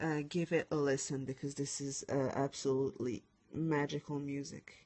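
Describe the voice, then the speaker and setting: With a French accent, a woman speaks at a moderate pace. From France. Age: 20s. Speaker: lettering designer. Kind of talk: live stream tutorial chat. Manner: halting.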